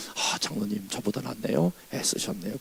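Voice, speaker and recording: Over noticeable background noise, a man sounds animated, his pitch swinging very widely. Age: 60s. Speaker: revival preacher, pastor. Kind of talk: sermon. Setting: church.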